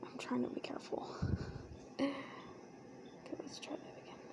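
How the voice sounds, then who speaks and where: Noticeable background noise surrounds a woman whispering. Her tone is relaxed, with an American accent. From United States. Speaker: ASMR creator. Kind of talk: ASMR soft-spoken talk to camera. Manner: soft-spoken, relaxed, casual.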